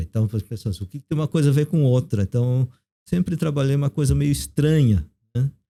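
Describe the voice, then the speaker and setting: A man's somewhat breathy, fairly high-pitched voice with a dark, mellow tone at a moderate pace, recorded with a dry, close sound and no echo. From South Korea, raised in Brazil from age 9. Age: 50s. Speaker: theologian and professor. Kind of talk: casual interview.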